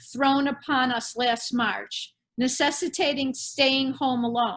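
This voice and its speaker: Someone speaks with an American accent at a fairly slow pace. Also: woman. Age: 70s. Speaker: artist. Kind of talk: prepared artist talk. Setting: video call. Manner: formal.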